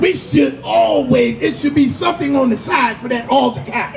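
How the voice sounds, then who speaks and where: A man talks over noticeable background noise. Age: 60s. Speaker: tenant association president. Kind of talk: rally speech. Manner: halting, repetitive.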